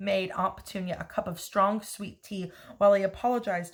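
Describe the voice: Someone does plain reading aloud, the intonation staying fairly even.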